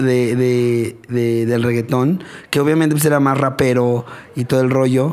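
Over noticeable background noise, a man speaks at a fairly slow pace and medium pitch, with fairly even intonation and very even loudness. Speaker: podcast co-host. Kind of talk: casual chat.

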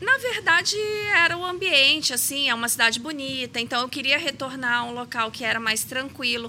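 A woman raises and projects her high-pitched voice, talking at a fairly quick pace with ordinary pitch variation over noticeable background noise. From Brazil, Rio de Janeiro. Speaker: pharmacist and aesthetics practitioner. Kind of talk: interview.

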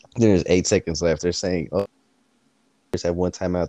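A man with a very deep, low pitch, a dark, mellow tone and monotone, flat intonation. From US South. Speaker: podcast co-host. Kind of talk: casual chat.

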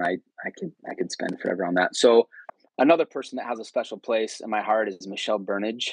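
A man with a West Coast accent at a fairly quick pace, recorded dry and close with no echo. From California, Bay Area. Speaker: former missionary. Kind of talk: casual interview. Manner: hesitant, many fillers.

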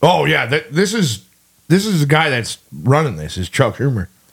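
Animated in tone, a man with a fairly high pitch and vocal fry speaks at a fairly slow pace. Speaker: podcast co-host. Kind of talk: casual chat.

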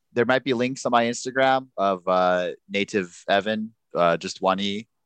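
Against a quiet background, a man speaks at a very slow pace with ordinary pitch variation, and the sound is dry and close with no echo. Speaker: guest, improv performer. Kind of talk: casual comedy podcast chat.

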